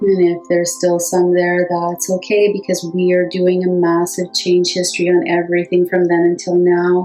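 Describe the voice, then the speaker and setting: Over music in the background, a woman talks at a moderate pace with a fairly low pitch and monotone, flat intonation. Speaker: hypnotherapist. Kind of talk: guided hypnosis meditation.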